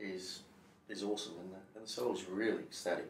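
A man speaks at a fairly quick pace, with light background noise and audible room echo. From Perth, Western Australia. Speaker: real estate agent. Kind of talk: interview answer. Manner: enthusiastic, energetic. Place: meeting room. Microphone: camera far.

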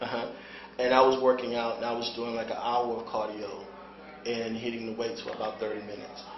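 There is noticeable background noise. Over it, a man talks at a fairly quick pace. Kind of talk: interview answer. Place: kitchen.

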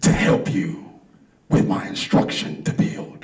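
A man performs in a put-on character voice. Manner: booming, commanding.

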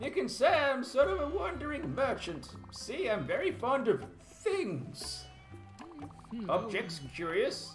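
A man uses a put-on character voice with an extremely high pitch. He talks at a fairly slow pace while clear music plays in the background. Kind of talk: courteous, old-fashioned greeting. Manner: friendly, eccentric, fond of curious things.

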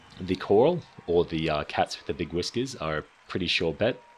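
This voice has an Australian accent and moves at a moderate pace. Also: man. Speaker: gaming YouTuber. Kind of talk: casual game guide commentary.

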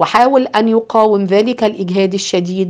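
The speaker uses a natural reading voice.

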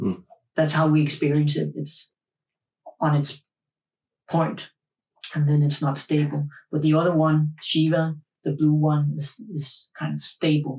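Over a quiet background, a man speaks in a somewhat breathy voice at a fairly slow pace, with fairly even intonation and long, frequent pauses. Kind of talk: interview answer. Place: studio.

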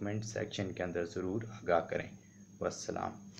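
A man speaks with monotone, flat intonation. Light background noise is present. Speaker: law lecturer. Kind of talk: lecture. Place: home room. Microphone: phone near.

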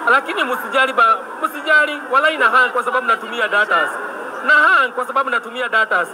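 A man speaks in a raised, projected voice with lively intonation. Noticeable background noise is present. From Kenya. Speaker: livestreamer covering protests; livestreamer. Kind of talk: live streaming commentary; casual livestream commentary. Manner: fast, repetitive. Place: street. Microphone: phone near.

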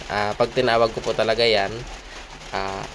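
Over noticeable background noise, a man at medium pitch speaks at a fairly quick pace in a monotone, flat intonation. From Oriental Mindoro, Philippines. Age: young. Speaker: folk healer. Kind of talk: tutorial. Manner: hesitant, many fillers.

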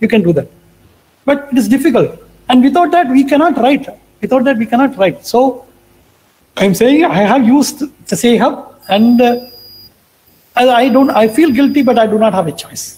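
A man's extremely high-pitched voice at a moderate pace, with ordinary pitch variation and long, frequent pauses. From India. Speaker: research professor, materials scientist; research professor. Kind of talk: lecture. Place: home room.

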